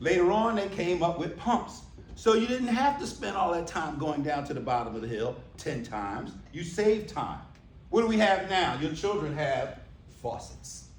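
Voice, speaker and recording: This man has an American accent and a high pitch that swings very widely. He speaks at a moderate pace, with audible room echo. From US Northeast. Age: 60s. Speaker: keynote speaker. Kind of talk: keynote speech. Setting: stage with audience. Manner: loud, commanding.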